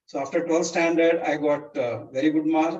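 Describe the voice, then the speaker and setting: With a Kannada accent, a man talks at a moderate pace, his fairly high pitch following a fairly even intonation. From India, Karnataka border village near Solapur. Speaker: teacher. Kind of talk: life story talk. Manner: halting, many fillers.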